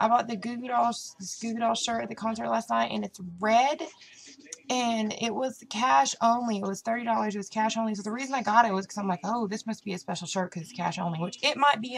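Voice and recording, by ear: A woman with a Southern US accent talks at a fairly quick pace and a fairly high pitch, with vocal fry and fairly even intonation.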